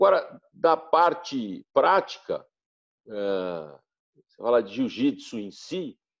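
A man at a very slow pace with big swings in loudness. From São Paulo, Brazil. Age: 60s. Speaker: jiu-jitsu practitioner. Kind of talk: interview.

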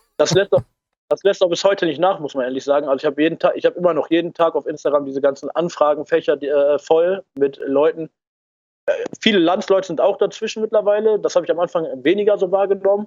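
Talking at a very fast clip, this man has a high pitch and ordinary pitch variation. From Ruhr area, western Germany. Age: 20s. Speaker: political activist. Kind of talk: interview.

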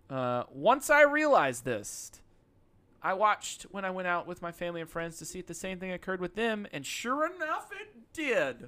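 The voice is raised and projected, with an animated tone and very wide pitch swings. Loudness swings widely, and the pace is moderate. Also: man, high pitch for a man. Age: 30s. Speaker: podcast co-host. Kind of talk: comedic casual chat.

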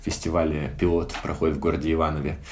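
A man talks in a room with audible echo while noticeable noise sits in the background. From Siberia, Irkutsk. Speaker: film critic. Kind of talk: casual interview.

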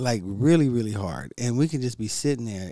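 Lively in intonation, a man with an unremarkable speaking voice holds a medium pitch and a moderate pace. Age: 40s. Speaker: podcast host with cancer. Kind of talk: casual motivational monologue. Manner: relaxed, conversational with fillers.

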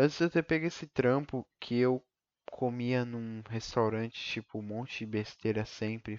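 Against a quiet background, a man in a plain, everyday voice talks at a moderate pace with medium pitch and fairly even intonation, the sound dry and close with no echo. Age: 20s. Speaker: podcaster, college student. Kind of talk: solo monologue. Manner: rambling, casual slang.

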